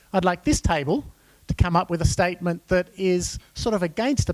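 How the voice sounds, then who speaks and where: With an Australian accent, a man speaks at a very fast pace in a high pitch. The sound is dry and close, with no echo. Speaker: workshop facilitator. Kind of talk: conference workshop facilitation. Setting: conference room with audience.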